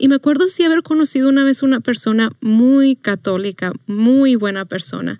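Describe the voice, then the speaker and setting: A woman talks at a moderate pace with hardly any pauses. Her high-pitched voice has a dark, mellow tone and lively intonation. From Mexico, Chihuahua. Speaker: youth minister. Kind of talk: testimony.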